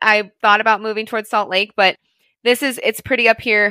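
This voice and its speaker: In a dry, close sound with no echo, a woman with an American accent speaks at a fairly high pitch in a bright, sharp tone. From US Midwest, St. Louis, Missouri. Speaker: financial advisor and podcast co-host. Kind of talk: casual chat.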